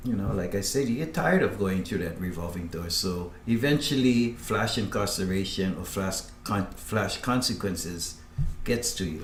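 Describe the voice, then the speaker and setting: The speech runs at a moderate pace. Noticeable background noise and audible room echo fill the recording. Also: man, fairly low pitch for a man, ordinary pitch variation. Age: 60s. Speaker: former career criminal. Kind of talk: testimony. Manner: halting.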